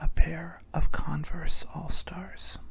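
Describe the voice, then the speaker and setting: A whisper comes through at a very slow pace. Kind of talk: ASMR random-facts bedtime narration. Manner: soft, whispered.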